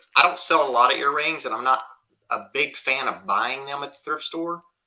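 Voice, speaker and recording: Fairly high in pitch with a bright, sharp tone, a man with a Southern US accent speaks at a moderate pace with ordinary pitch variation. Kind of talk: live auction stream.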